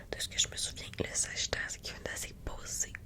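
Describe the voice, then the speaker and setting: A woman is whispering against noticeable background noise. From Quebec. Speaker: ASMR content creator. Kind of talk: ASMR soft-spoken astrology explanation. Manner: soft-spoken, friendly.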